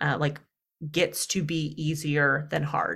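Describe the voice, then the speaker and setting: A woman's very deep, low voice with a bright, sharp tone and vocal fry, fairly slow, in a slight Southern US accent. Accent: Southern US, slight twang. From US Deep South. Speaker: dating coach.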